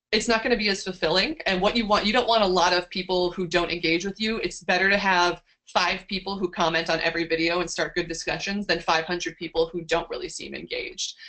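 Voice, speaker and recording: The speech runs at a very fast pace with hardly any pauses and fairly even intonation. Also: woman, medium pitch for a woman. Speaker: science communicator, seminar speaker. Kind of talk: online seminar talk.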